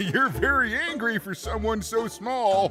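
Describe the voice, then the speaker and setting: A man uses a put-on character voice, high in pitch and fairly slow. Clear background noise runs behind him. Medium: video game. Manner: gentle, apologetic.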